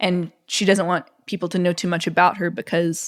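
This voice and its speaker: A woman with an American accent at a fairly low pitch and fairly quick pace, in a monotone, flat intonation, on a very clean recording with a silent background. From US South, Mississippi. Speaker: author. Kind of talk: interview.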